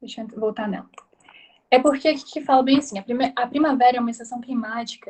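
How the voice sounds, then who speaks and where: A woman speaks at a very fast pace in a high pitch. Her tone is dark and mellow, and her intonation stays fairly even. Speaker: tutor. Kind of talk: tutorial. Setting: video call.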